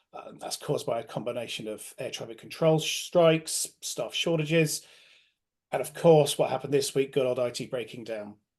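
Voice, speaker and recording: Against a quiet background, a man speaks at a moderate pace in a fairly high voice with ordinary pitch variation. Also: big swings in loudness. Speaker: webinar host, client director. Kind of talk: business webinar presentation. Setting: online webinar over home broadband. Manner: hesitant, many fillers (um, uh).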